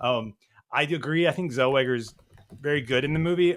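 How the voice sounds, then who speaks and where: A man with a slight Southern US accent, his pitch fairly high with ordinary variation, at a fairly quick pace. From US South, Nashville, Tennessee. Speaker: film podcast guest. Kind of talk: casual chat.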